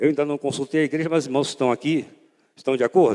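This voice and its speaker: With a dark, mellow tone, a man speaks at a fairly high pitch and ordinary pitch variation. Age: 70s. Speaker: pastor. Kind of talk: sermon. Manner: warm, conversational.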